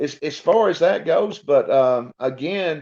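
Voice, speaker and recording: Very slow male speech with a North Georgia accent and very wide pitch swings, over a quiet background. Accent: Southern North Georgia. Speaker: college sports broadcaster. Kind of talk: podcast interview.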